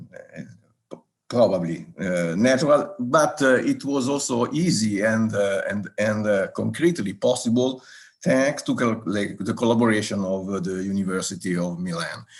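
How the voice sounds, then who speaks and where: A man with an Italian accent, lively intonation and a fairly slow pace. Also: medium pitch for a man. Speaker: regional government soil expert. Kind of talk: live online round table talk. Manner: halting, many fillers.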